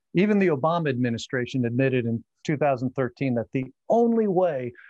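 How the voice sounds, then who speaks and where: Speaking at a moderate pace with lively intonation, a man has an ordinary speaking voice at medium pitch. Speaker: gun rights advocate and civics teacher. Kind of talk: interview.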